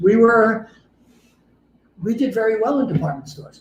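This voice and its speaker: A man with a New York accent speaks at a moderate pace. Audible room echo surrounds his voice. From New York City, Queens. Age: 70s. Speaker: fashion entrepreneur. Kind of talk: interview. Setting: live stream from his showroom.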